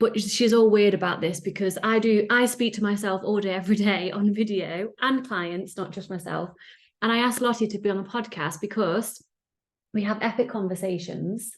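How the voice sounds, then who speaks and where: A woman speaks at a moderate pace with an English accent. Her pitch is medium, and the background is quiet. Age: 30s. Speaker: podcast host. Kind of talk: casual chat. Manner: animated.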